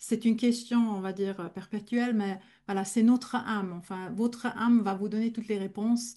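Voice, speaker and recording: At a moderate pace, a woman speaks in a somewhat breathy voice with a dark, mellow tone and fairly high pitch, her intonation monotone and flat. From German-speaking Switzerland. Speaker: medium. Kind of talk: Q&A in a masterclass.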